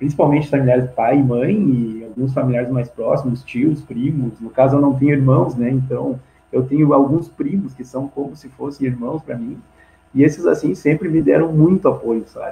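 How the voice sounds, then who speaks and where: A man talks at a moderate pace in a somewhat breathy, dark, mellow voice of fairly high pitch. His loudness swings widely while his pitch varies in an ordinary way. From Rio Grande do Sul, Brazil (Santa Maria). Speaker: fire survivor, veterinarian. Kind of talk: testimony in live video chat. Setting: live video call. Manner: halting, many false starts.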